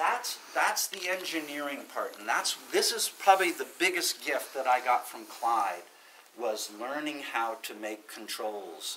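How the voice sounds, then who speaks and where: A man speaks with very wide pitch swings. Light background noise is present. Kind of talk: informal talk to a small audience. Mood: enthusiastic. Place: meeting room. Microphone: camera far.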